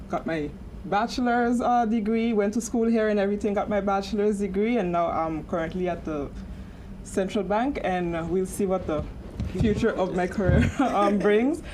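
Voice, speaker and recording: A woman of medium pitch with a St Martin accent, at a moderate pace with ordinary pitch variation and audible room echo. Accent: St. Martin Caribbean English. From Caribbean, St. Martin. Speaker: panelist, bank supervision officer. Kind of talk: panel discussion. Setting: studio with live audience. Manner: hesitant, many fillers.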